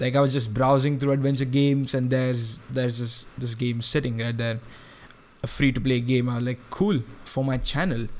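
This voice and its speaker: Against noticeable background noise, a man at a medium pitch speaks at a moderate pace with fairly even intonation. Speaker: gaming youtuber. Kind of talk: let's play commentary. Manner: loud; halting, many fillers and restarts.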